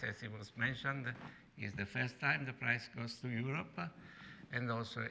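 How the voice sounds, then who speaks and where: With an Italian accent, a man speaks at a moderate pace with ordinary pitch variation. Room echo is audible. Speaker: professor. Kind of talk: lecture. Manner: halting.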